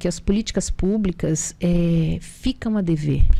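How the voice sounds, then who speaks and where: A woman's dark, mellow tone comes at a fairly slow pace. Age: 60s. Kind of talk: TV talk show conversation.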